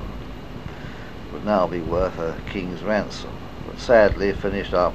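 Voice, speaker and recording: A man speaks with an English accent. Noticeable background noise can be heard behind him. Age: 70s. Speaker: retired RAF wing commander. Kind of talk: memoir reading. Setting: cassette recording.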